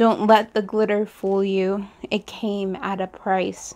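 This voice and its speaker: A woman talks at a very slow pace. Her intonation stays monotone and flat. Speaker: poet. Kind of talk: spoken word poetry reading. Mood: solemn, emotional. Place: home room. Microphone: lapel.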